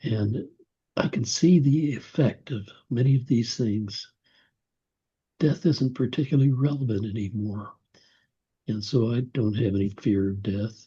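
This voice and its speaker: Against a quiet background, a man with a medium-pitched, dark, mellow and somewhat breathy voice speaks at a fairly slow pace with long, frequent pauses. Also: ordinary pitch variation. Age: 80s+. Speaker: author and attorney. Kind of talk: interview.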